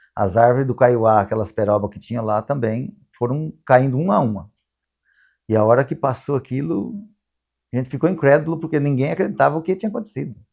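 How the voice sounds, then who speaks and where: A man at medium pitch and a fairly quick pace. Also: lively intonation. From Paraná, Brazil (Nova Londrina). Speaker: eyewitness interviewee. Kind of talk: testimony. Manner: halting.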